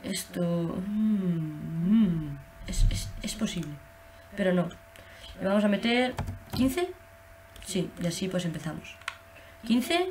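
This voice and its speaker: Delivered at a very slow pace with long, frequent pauses, the speech shows ordinary pitch variation over light background noise. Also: woman, medium pitch for a woman. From Spain. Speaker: gaming youtuber. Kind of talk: gameplay commentary. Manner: halting. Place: home room. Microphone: webcam.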